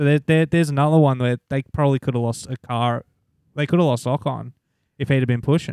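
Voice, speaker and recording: Recorded very cleanly against a silent background with a dry, close sound and no echo, a man with a strong Australian accent speaks at a very fast pace in a fairly high pitch with fairly even intonation. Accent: broad Australian. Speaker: podcast co-host. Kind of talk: casual chat.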